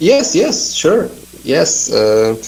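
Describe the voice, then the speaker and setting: A man's fairly high voice moves very slowly, with noticeable noise behind it. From Portugal. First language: Portuguese. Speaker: magazine editor. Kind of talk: interview. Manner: halting.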